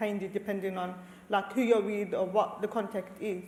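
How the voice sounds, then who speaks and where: A fairly quick-paced woman's voice over noticeable background noise. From Australia, Lebanese family. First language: Arabic. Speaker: researcher, community leader. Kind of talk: panel discussion.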